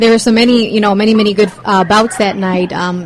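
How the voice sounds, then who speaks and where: Noticeable background noise surrounds a woman speaking with fairly even intonation. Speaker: podcast co-host. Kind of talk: casual podcast interview questions.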